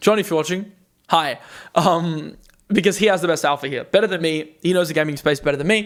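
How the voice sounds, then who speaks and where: Very fast speech comes from a man. His pitch is high, with ordinary pitch variation. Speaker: crypto YouTuber. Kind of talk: market commentary with Q&A. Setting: on camera. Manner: enthusiastic.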